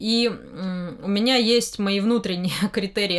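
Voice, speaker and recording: A woman's voice with ordinary pitch variation. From Moscow. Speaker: comics publisher editor. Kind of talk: interview. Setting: studio. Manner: halting.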